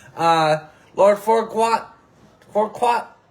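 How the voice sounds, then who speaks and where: A man speaks loudly. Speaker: podcast host. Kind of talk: casual sports and wrestling chat. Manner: hesitant with many fillers; loud, hyped.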